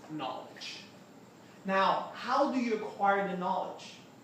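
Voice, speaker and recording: Noticeable background noise runs under speech that proceeds fairly slowly. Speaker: success coach. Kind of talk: lecture.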